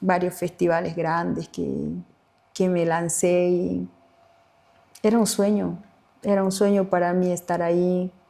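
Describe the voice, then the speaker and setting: In a fairly low, dark and mellow voice, a woman speaks with flat, monotone intonation and long, frequent pauses. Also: fairly slow pace. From Bolivia, Tarija (Chaco region). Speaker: singer-songwriter. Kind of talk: interview conversation.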